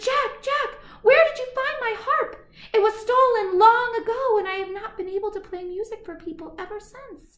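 A woman puts on a character voice at an extremely high pitch, her loudness swinging widely and her intonation lively as she talks at a moderate pace. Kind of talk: bedtime story. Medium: read story. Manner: amazed, warm.

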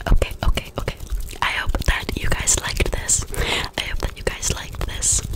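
A soft-spoken woman whispering. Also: moderate pace. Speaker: ASMR creator. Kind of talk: soft ASMR trigger words and closing chat. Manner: soft close-mic whisper. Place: home room. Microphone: studio mic.

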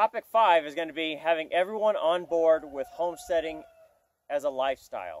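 A man speaks at a fairly quick pace in a high voice with ordinary pitch variation. His loudness swings widely, and the sound is dry with no echo. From US suburbs. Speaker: homesteader. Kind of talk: casual tutorial to camera. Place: farm machine.

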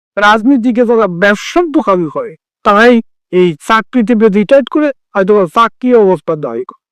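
A man speaks in a high voice with lively intonation and big swings in loudness. The sound is dry and close, with no echo. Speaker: YouTube commentator. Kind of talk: opinion monologue.

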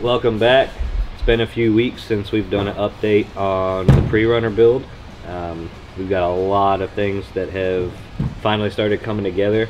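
A man talks with a fairly low pitch and fairly even intonation. Music plays in the background. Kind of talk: casual build update. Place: garage.

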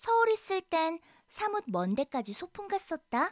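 A woman's extremely high, playful voice at a very slow pace, with very wide pitch swings and a dry, close sound with no echo. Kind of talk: voiced lines of the girl character within audiobook reading. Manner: lively, playful, girlish character voice.

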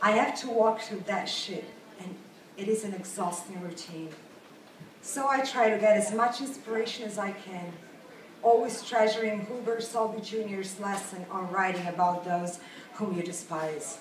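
Noticeable background noise sits under a woman speaking at a medium pitch and a moderate pace. Her pitch varies in an ordinary way, while her loudness swings widely. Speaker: writer and blogger. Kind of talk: live reading of own prose to an audience.

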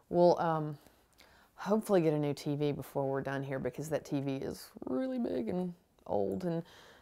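At a moderate pace, a woman with a very deep, low pitch speaks with lively intonation over a quiet background. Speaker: home makeover show host. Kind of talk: TV host commentary. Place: home room.

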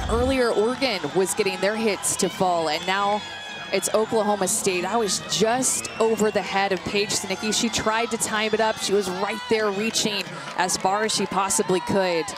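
Music plays in the background of this dry recording with no echo, where the speech moves at a moderate pace. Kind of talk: live color commentary. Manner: explanatory, analytical, steady. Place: booth.

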